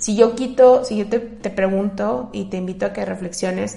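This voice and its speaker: The voice has a dark, mellow tone with vocal fry, moving at a fairly slow pace with audible room echo. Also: woman. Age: 30s. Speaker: podcast host, therapist. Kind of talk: solo podcast monologue. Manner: conversational, with filler hesitations.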